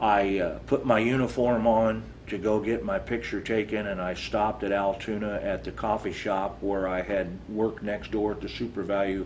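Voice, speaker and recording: A man talks at a moderate pace with a Midwestern American accent. His pitch is fairly low and his intonation fairly even. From Iowa, USA. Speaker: Vietnam War veteran, Navy Seabee. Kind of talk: oral history interview answer.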